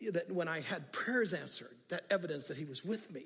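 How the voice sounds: Talking at a fast pace, a man uses a fairly high pitch with ordinary pitch variation.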